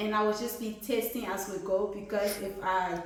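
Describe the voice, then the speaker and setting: A woman talks over noticeable background noise, and audible room echo surrounds her voice. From Liberia. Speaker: cooking channel host. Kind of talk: cooking tutorial. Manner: casual, with many fillers.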